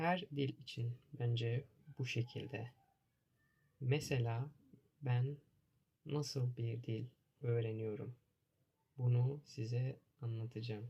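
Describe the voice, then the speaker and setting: With a dark, mellow tone and a somewhat breathy sound, a man talks at medium pitch and a very slow pace, using fairly even intonation and long, frequent pauses. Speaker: language teacher. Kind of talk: language lesson. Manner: repetitive, simple phrasing.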